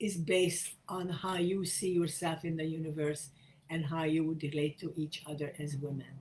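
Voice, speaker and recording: A woman speaks in a very deep, low voice that is somewhat breathy. Her intonation is monotone and flat. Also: moderate pace. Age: 80s+. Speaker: feminist spiritual leader. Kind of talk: talk to camera.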